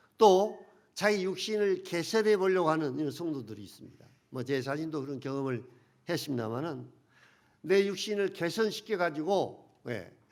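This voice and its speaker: In a room with audible echo, a man speaks at a moderate pace in a fairly high voice, with lively intonation and big swings in loudness. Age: 70s. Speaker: pastor. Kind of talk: sermon.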